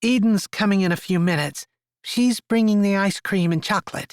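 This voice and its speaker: A man does a put-on character voice at a high pitch, going at a fairly quick pace with very even loudness. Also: very clean recording, silent background. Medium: read story. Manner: soft, caring.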